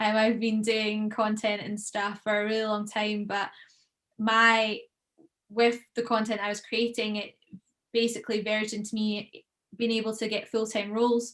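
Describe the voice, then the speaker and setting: A fairly high-pitched woman's voice in a Scottish accent, monotone and flat, at a moderate pace. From Scotland (Troon, Ayrshire). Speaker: professional golfer and content creator. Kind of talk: podcast interview.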